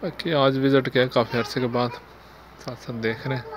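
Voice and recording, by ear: A man at a medium pitch speaks with little pitch movement over faint background noise.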